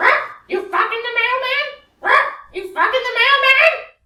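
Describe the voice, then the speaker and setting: A woman does a put-on character voice at an extremely high pitch and a moderate pace, with a slight echo. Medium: stage. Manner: squawking, repetitive.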